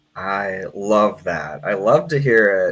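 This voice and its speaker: A man speaks over noticeable background noise. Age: 30s. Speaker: community organization director and show host. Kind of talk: live-streamed interview. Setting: live stream.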